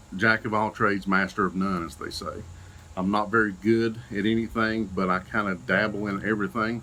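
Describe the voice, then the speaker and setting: A man with an Eastern Kentucky accent, a bright, sharp tone, and ordinary pitch variation. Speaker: paramedic and YouTuber. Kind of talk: channel introduction vlog. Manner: casual, many fillers.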